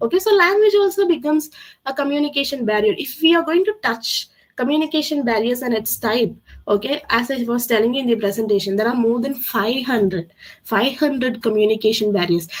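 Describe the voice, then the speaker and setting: Speech moves along fairly quickly. Pitch rises and falls over a very wide range. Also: woman, high pitch for a woman. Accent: Tamil. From South India, Tamil Nadu (Coimbatore). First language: Tamil. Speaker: communication skills trainer. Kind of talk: webinar Q&A. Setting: online webinar. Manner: halting, many fillers.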